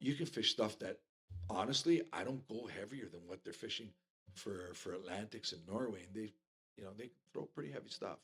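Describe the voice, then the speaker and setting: This man has a normal speaking voice. It sits fairly low and shows ordinary pitch variation. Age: 60s. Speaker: fly fisherman. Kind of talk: casual chat.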